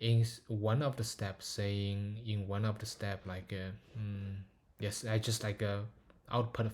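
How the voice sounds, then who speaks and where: A man's somewhat breathy, fairly low voice with fairly even intonation at a very slow pace, on a very clean recording with a silent background. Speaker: machine learning paper reviewer. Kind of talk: technical paper walkthrough. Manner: hesitant, many filler words.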